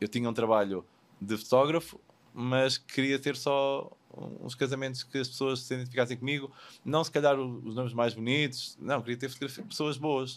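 A man with an ordinary speaking voice talks at a moderate pace and medium pitch, with fairly even intonation, on a very clean recording with a silent background. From Portugal. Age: 40s. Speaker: wedding photographer. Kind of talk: casual interview. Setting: studio.

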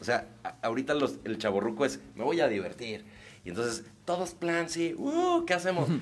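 Noticeable background noise sits under a fairly high-pitched man who talks at a moderate pace with very wide pitch swings. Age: 30s. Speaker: comedian. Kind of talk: casual chat.

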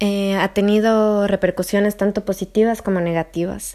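In a very clean recording with a silent background, a woman speaks at a moderate pace. Her medium pitch stays monotone and flat, with a dark, mellow tone. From Ecuador, Quito. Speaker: geographer. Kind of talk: interview. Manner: hesitant with fillers.

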